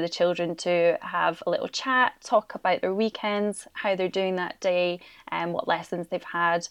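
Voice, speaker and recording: Speaking at a moderate pace in a Scottish accent, the voice keeps a fairly even intonation. The sound is dry and close with no echo, over a quiet background. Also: woman. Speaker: primary school teacher. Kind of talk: interview.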